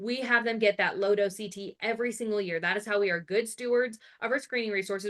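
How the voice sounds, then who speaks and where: Speaking at a fairly quick pace, a woman keeps to a medium pitch. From Arizona, US. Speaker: family nurse practitioner, educator. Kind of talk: live webinar lecture. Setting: online webinar. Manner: animated.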